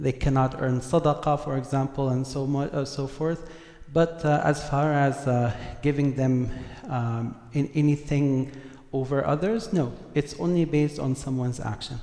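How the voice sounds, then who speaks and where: A man with an Arabic accent, fairly high pitch, fairly even intonation and a moderate pace. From Saudi Arabia, Syrian family. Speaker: religious scholar. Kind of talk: community Q&A talk. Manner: halting, many fillers.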